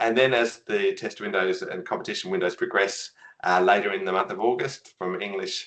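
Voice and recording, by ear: A fairly bright tone at a fairly quick pace. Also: man.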